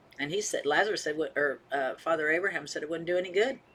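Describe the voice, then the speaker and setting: A woman with an American accent, fairly low in pitch, bright and sharp in tone, at a fairly quick pace. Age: 70s. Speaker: retired counselor. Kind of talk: casual talk to small group, sermon-like.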